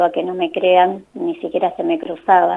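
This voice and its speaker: A woman in a Rioplatense accent at a moderate pace. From Argentina, La Plata. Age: 50s. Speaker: holistic therapist and author. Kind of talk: radio interview, personal testimony. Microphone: hands-free phone, improved after adjusting.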